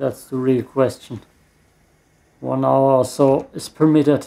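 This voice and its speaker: A man with a German accent speaks at a fairly high pitch. His tone is dark and mellow, and his intonation fairly even. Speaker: gaming YouTuber. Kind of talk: let's play gameplay commentary. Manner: frequent laughter.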